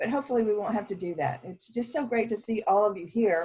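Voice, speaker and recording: A woman's fairly high voice sounds somewhat breathy and varies in pitch in an ordinary way. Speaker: education conference speaker. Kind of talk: conference address. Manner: halting.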